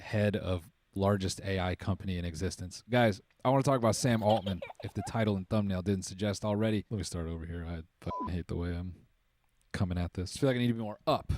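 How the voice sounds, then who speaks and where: Pitched fairly low for a man, he rattles along at a very fast pace. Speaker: YouTuber, commentary video. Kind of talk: casual, profane. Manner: monotone.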